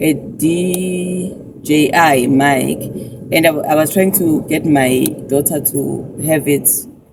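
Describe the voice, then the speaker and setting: At a very slow pace, a woman speaks with a very deep, low pitch, fairly even intonation and very even loudness. Noticeable background noise can be heard. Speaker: YouTuber. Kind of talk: vlog.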